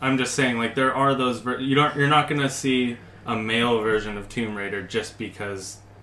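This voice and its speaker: Noticeable background noise sits behind talking that keeps a moderate pace and fairly even intonation. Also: man, medium pitch for a man. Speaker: podcast co-host. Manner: laughs often, jokes.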